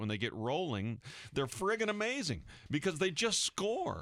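A man with an American accent talks at a fairly quick pace, his tone bright and sharp with vocal fry. His pitch swings very widely, on a very clean recording with a silent background. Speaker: radio host and caddy. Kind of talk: sports radio talk show. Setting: radio studio.

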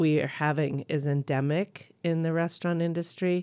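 At a moderate pace and with ordinary pitch variation, the speaker is heard in a very clean recording with a silent background. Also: woman. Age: 50s. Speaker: chef and restaurant owner. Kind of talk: radio interview.

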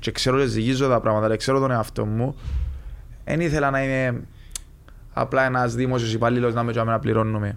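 A man speaks with a Cypriot accent at a medium pitch and a fairly quick pace, his intonation fairly even. His loudness stays very even, broken up by long, frequent pauses. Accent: Cypriot Greek. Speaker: retired footballer. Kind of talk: casual interview.

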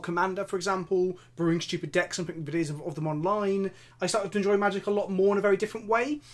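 A man with an English accent speaks very fast in a high voice, on a very clean recording with a silent background. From England. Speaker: content creator and co-host. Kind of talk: casual chat. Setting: video podcast.

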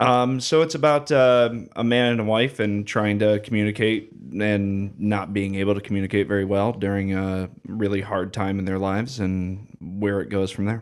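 An unremarkable speaking voice from a man with an American accent, fairly low in pitch, with ordinary pitch variation, a moderate pace and hardly any pauses. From Clyde, Ohio. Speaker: board game designer and writer. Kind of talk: casual chat.

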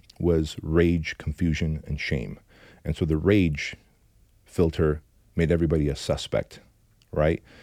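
At a fairly slow pace, a man with a very deep, low, dark and mellow voice speaks in monotone, flat intonation with long, frequent pauses. The recording is very clean, with a silent background. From Armenian immigrant from a communist country. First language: Armenian. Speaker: entrepreneur and business coach. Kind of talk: interview storytelling. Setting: studio.

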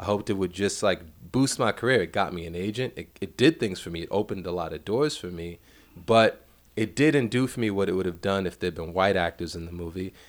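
Talking at a very fast pace in a New York accent, a man with a fairly low pitch shows ordinary pitch variation and big swings in loudness on a very clean recording with a silent background. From Brooklyn, New York (Bed-Stuy). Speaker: film director. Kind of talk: casual chat.

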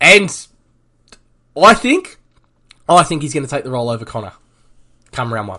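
A bright, sharp voice moves at a moderate pace with long, frequent pauses, very wide pitch swings and big swings in loudness. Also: man, fairly high pitch for a man. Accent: Australian. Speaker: fantasy football podcast host. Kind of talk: casual chat.

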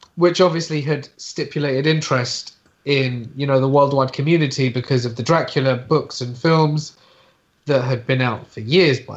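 At a moderate pace, a man talks in a somewhat breathy, fairly high voice with ordinary pitch variation. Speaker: horror storyteller. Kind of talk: casual chat.

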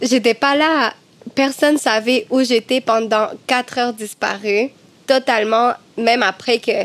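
Noticeable background noise surrounds a woman speaking fairly slowly in a high pitch. Her loudness stays very even and her intonation fairly even. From Cuba. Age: 20s. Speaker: medium and singer. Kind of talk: casual chat.

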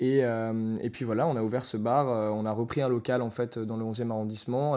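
This is a man at a moderate pace. His tone is dark and mellow. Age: 20s. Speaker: bar manager. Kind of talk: interview. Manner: halting.

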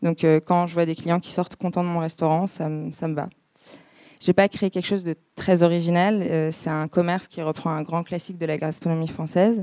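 Her dark, mellow voice sits at a fairly low pitch, with fairly even intonation and a moderate pace. The woman's recording is very clean with a silent background, dry and close with no echo. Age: 20s. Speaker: public speaker. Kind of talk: talk to an audience.

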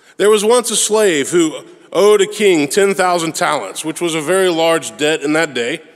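With noticeable background noise behind him, a man speaks in a high voice with ordinary pitch variation. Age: 40s. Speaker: pastor. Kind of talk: sermon.

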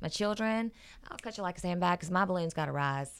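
A woman with lively intonation. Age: 40s. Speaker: radio show regular, parenting commentator. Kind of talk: casual chat, advice talk.

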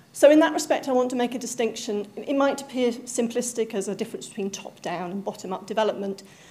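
Over noticeable background noise, a woman talks at a very fast pace with hardly any pauses. Her pitch is fairly high, with ordinary pitch variation. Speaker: academic researcher in social geography. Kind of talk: panel talk presentation.

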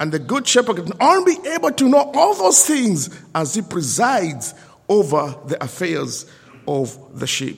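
A man with a high pitch and very wide pitch swings, at a fairly slow pace, over noticeable background noise. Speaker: lay preacher. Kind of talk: sermon. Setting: church service with congregation.

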